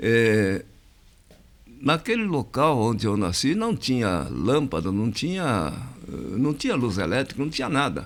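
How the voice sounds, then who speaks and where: At a fairly slow pace, a man with a medium pitch and vocal fry lets his pitch swing very widely. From Brazil, interior of São Paulo state. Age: 80s+. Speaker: community association president. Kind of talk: interview. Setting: podcast studio. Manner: hesitant, many fillers.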